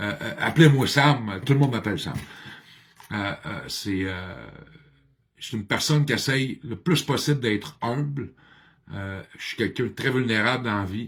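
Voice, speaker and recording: A somewhat breathy man at medium pitch, moderate pace and lively intonation, with long, frequent pauses and big swings in loudness. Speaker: addiction counselor and motivational speaker. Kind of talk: personal video monologue. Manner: talkative; halting, many hesitations.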